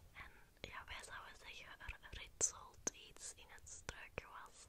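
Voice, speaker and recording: A woman is speaking. Loud background noise runs behind her voice. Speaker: ASMR creator. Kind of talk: soft ASMR-style talk about Dutch words. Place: home room. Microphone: studio mic.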